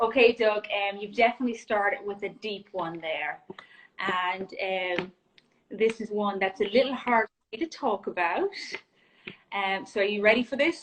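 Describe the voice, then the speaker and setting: A medium-pitched woman's voice in an Irish accent, moderate pace broken by long, frequent pauses. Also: ordinary pitch variation. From Ireland. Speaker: junior golf coach. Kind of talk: casual interview chat. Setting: Instagram Live video call.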